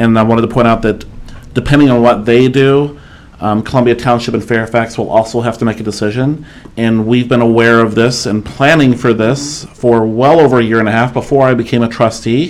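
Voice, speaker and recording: A man with a medium pitch talks at a fairly quick pace and fairly even intonation amid noticeable background noise. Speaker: township trustee. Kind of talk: formal public meeting.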